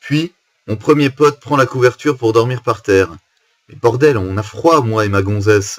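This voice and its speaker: The man's somewhat breathy voice sits at a medium pitch. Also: ordinary pitch variation, moderate pace. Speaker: musician. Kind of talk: casual talk to camera. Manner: storytelling, informal.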